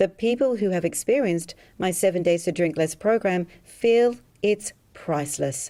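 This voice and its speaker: A dark, mellow tone with lively intonation at a moderate pace, in an Australian accent. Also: woman. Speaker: hypnotherapist selling a drinking program. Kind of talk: sales pitch.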